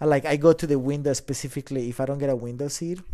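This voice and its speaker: Speaking very fast with a Colombian accent, a man with a fairly high pitch keeps a flat, monotone intonation in a dark, mellow tone. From Colombia, Bogota. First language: Spanish. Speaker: drone photographer and videographer. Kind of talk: casual interview. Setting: in-person studio.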